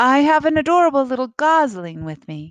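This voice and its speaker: In a put-on character voice, a female-sounding speaker talks at a fairly quick pace and high pitch with very wide pitch swings. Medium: read story. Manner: flat, literal.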